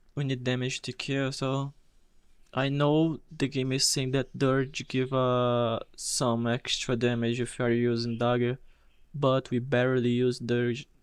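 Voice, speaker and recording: At a medium pitch and fairly slow pace, a man speaks in a monotone, flat intonation. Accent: Portuguese. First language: Portuguese. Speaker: game streamer. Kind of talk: live gameplay commentary. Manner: halting.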